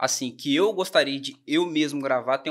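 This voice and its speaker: A man's fairly high voice comes through against a quiet background. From Brazil, Volta Redonda (Rio de Janeiro state); Rio de Janeiro state, Brazil. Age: 20s. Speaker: songwriter; podcast guest. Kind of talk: casual chat. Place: studio. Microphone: studio mic.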